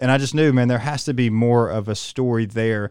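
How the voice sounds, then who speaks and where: At a fairly quick pace, a man with an ordinary speaking voice talks at medium pitch with fairly even intonation. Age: 30s. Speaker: pastor / church podcast host. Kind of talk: interview / casual chat; prayer.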